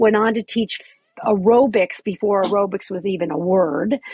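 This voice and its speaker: Somewhat breathy and fairly high, a woman's voice proceeds at a moderate pace. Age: 60s. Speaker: fitness instructor and author. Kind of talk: casual chat interview. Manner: halting, with fillers.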